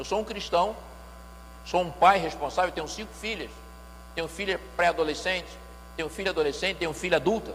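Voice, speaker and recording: Audible room echo surrounds a man speaking at a fairly quick pace. He leaves long, frequent pauses. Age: 60s. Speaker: pastor and music lecturer. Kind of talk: church lecture.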